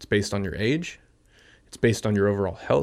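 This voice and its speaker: Here is a man with a Californian accent. His pitch sits fairly low. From US West Coast (San Francisco Bay Area). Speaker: health and wellness guest. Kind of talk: casual interview chat.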